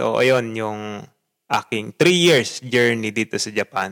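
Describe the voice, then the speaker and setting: This man speaks very slowly at a medium pitch. The sound is dry and close, with no echo. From Philippines. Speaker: podcaster and teacher. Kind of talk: casual monologue.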